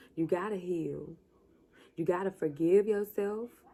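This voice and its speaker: Here a woman speaks in a medium pitch with a dark, mellow tone. Her intonation is fairly even. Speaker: vlogger. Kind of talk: motivational vlog talk. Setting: at home late at night. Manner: passionate.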